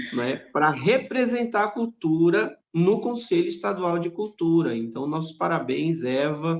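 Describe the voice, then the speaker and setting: Hardly pausing, a man talks in a high pitch with very wide pitch swings. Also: fairly slow pace. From Rondônia, Brazil. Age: 40s. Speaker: writer and teacher. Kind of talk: live interview. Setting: live stream video call.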